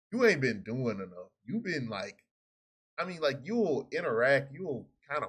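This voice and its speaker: The pitch swings very widely, and the voice is somewhat breathy. The pace is moderate against a quiet background. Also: man. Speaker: reaction streamer. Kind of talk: casual reaction commentary. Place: home room.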